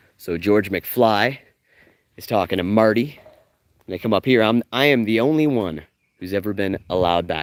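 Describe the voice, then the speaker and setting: A man's fairly low voice at a moderate pace, broken by long, frequent pauses. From Canada. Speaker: live-streaming travel vlogger and tour guide. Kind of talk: live-streamed walking tour. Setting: outdoors walking along a street. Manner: animated.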